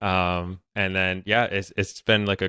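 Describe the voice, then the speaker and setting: At a moderate pace, a man with a New England accent and a fairly low pitch speaks in a bright, sharp tone, with dry, close sound and no echo. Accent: New England American. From New Hampshire, US. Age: 20s. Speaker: YouTuber and real estate investor. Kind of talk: podcast interview. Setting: remote call.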